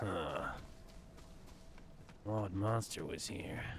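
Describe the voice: A man's put-on character voice, gruff and raspy, fairly low in pitch, with clear background noise.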